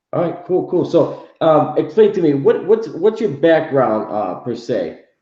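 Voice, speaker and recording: With an American accent, a man talks at a fairly slow pace in a fairly high voice with a dark, mellow tone, vocal fry and lively intonation, and audible room echo surrounds him. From Houston, Texas. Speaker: comic artist and channel host. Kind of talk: casual interview.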